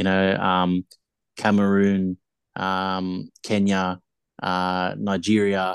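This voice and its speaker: Speech in an Australian accent moves very slowly, monotone and flat, with long, frequent pauses. The sound is dry and close with no echo, over a quiet background. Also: man, very deep, low pitch for a man. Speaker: rugby league podcaster. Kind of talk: casual chat.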